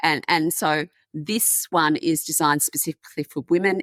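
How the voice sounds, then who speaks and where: A woman with an Australian accent speaks at a fairly low pitch and a moderate pace. The recording is very clean and dry, with a close sound, no echo and a silent background. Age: 60s. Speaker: menopause advocate. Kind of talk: podcast interview.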